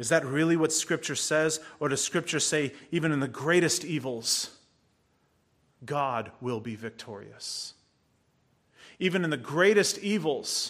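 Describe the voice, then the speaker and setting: In a very clean recording with a silent background, a man speaks at a fairly slow pace with a fairly high pitch and ordinary pitch variation. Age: 40s. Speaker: pastor. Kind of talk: sermon.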